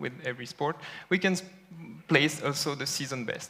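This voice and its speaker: A man with a French accent speaks at a medium pitch and fairly even intonation over noticeable background noise. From France. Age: young. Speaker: data scientist. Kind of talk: conference talk. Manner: hesitant with fillers.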